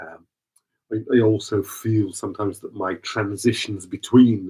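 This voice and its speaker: A man's somewhat breathy, dark, mellow voice, fairly low in pitch, at a fairly slow pace. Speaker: vocal improvisation artist. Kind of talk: casual spoken reflection reading from notes. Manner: halting, many repetitions and fillers.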